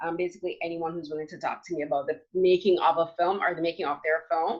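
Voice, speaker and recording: A woman's fairly low voice, very fast and with monotone, flat intonation. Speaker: film critic and podcaster. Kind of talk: panel discussion.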